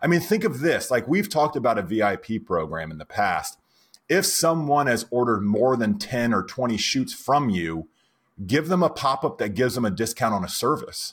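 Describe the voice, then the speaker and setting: A man's voice with vocal fry and very wide pitch swings, at a moderate pace, on a very clean recording with a silent background. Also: medium pitch for a man. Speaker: software company founder and podcast co-host. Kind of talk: casual chat. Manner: loud.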